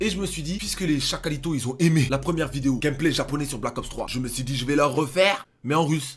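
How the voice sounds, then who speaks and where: A man's fairly high, somewhat breathy, animated voice at a very fast pace, with ordinary pitch variation and hardly any pauses. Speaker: gaming youtuber. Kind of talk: gaming reaction commentary.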